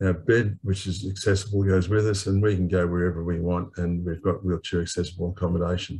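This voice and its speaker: Somewhat breathy and delivered with monotone, flat intonation, the voice has an Australian accent. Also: man. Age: 70s. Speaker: webinar panellist, wheelchair traveller. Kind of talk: panel discussion.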